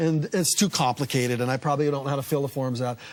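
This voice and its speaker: A man at a very fast pace in a very clean recording with a silent background. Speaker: author. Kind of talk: TV talk show interview answer.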